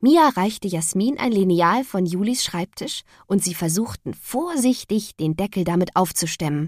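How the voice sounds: Heard here is a natural reading voice.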